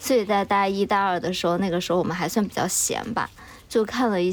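Noticeable background noise sits behind a woman speaking at a fairly quick pace. Her pitch is medium, with fairly even intonation. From Chengdu, Sichuan, China. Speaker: podcast co-host appearing as guest. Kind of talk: casual chat.

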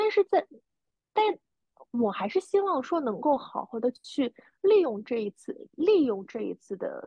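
A woman with a high pitch, very wide pitch swings and a fairly slow pace. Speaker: podcast co-host, freelancer. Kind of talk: casual chat.

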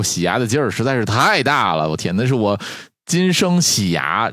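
Lively intonation from a man with a plain, everyday voice, at a fairly quick pace. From Northeast China. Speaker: doctor. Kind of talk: casual chat.

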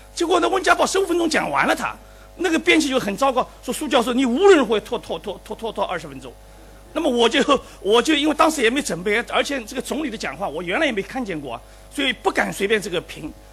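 Over noticeable background noise, a man with an extremely high voice speaks very fast, with very wide swings in both pitch and loudness. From Shanghai. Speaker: professor, invited commentator. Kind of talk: closing commentary at a public forum. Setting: lecture hall with live audience. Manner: halting.

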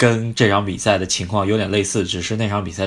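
A man talks rather quickly in a fairly low voice, his intonation fairly level. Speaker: football podcast host. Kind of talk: casual chat.

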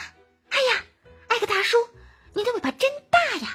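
Faint music plays in the background. Over it comes a squeaky, put-on character voice at an extremely high pitch. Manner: short, clipped, admiring.

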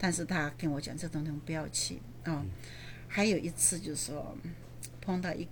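The speech moves at a fairly quick pace and carries vocal fry. Room echo is audible. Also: woman. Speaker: real estate investor and landlord. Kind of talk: interview.

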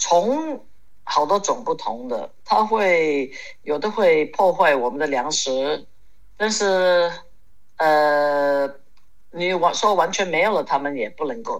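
Pausing long and often, a woman with a fairly low pitch speaks at a very slow pace with lively intonation. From Hong Kong. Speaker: ceramic artist and horse rider. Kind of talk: casual interview chat.

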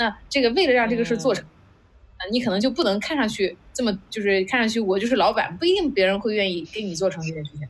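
A woman's fairly high voice at a very fast pace, with lively intonation and big swings in loudness. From China, Qingdao. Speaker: startup founder, former product manager. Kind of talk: casual interview conversation. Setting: online video call event.

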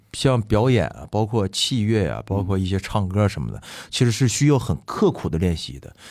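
Lively intonation marks a man's plain, everyday voice at a fairly low pitch. He keeps a moderate pace on a very clean recording with a silent background. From Fushun, Liaoning, northeast China. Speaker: musical theatre actor, guest co-host. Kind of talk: casual interview chat.

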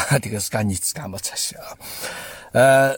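A somewhat breathy man talks with ordinary pitch variation. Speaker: podcast host. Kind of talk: casual commentary monologue. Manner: halting, many fillers.

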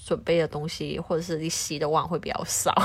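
A woman with a fairly low pitch speaks fairly quickly in a normal speaking voice. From Hong Kong. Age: young. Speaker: home cook, office worker. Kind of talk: casual chat.

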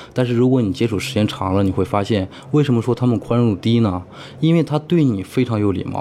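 This man's medium pitch rises and falls in an ordinary way as he rushes at a very fast pace. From Heilongjiang, northeast China. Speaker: IT worker living abroad. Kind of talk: interview conversation. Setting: in-person recording in Singapore.

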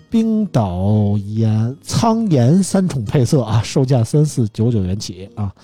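At a very slow pace with hardly any pauses, a man speaks with lively intonation and a medium pitch. His voice is somewhat breathy with a dark, mellow tone. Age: 40s. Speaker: podcast host. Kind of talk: casual chat; reading out phone specs.

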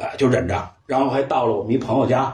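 A man with a Beijing accent talks at a very fast pace, with audible room echo. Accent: Beijing Mandarin, erhua-heavy. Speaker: photo lab owner and storyteller. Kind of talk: casual chat. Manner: animated.

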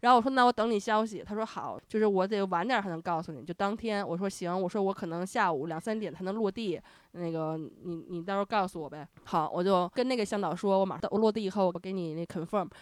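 A woman talks at a very fast pace and in an animated tone, her medium pitch moving with ordinary variation. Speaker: podcast host. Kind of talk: casual chat.

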